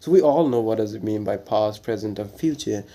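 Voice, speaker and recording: A man in a Bengali accent with a medium pitch and a dark, mellow tone, on a very clean recording with a silent background. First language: Bangla. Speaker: English grammar teacher. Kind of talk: tutorial. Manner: halting, many fillers; casual.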